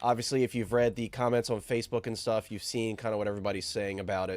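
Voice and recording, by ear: A man talks at a fast pace with a nasal, slightly mellow tone and a fairly low pitch.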